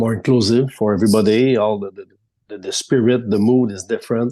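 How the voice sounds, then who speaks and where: With a French Canadian accent, a man speaks at a medium pitch in a dark, mellow tone. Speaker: sports reporter. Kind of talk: casual interview. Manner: halting.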